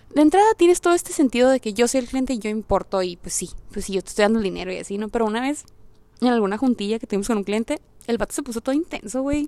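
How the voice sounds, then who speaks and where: A woman talks very fast with a Mexican accent and a fairly high pitch. Her intonation is lively, and the sound is dry and close with no echo. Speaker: podcaster. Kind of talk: casual monologue. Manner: animated; direct.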